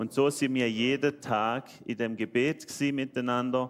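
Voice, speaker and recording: A man speaks with a Swiss German accent. His intonation is fairly even. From Switzerland. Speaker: church member. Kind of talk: testimony.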